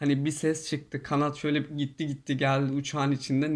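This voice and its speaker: In a monotone, flat delivery, a man speaks at a fairly high pitch. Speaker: YouTuber. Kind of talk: casual storytelling monologue. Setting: in quarantine hotel room.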